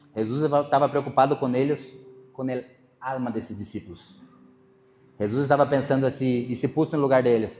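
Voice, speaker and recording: A man's medium-pitched voice at a fairly quick pace, with fairly even intonation and long, frequent pauses. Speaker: pastor. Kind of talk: sermon.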